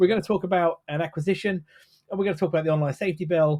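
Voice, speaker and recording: Ordinary pitch variation from a man speaking with a British accent. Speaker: tech podcast co-host. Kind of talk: casual chat. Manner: halting, many fillers.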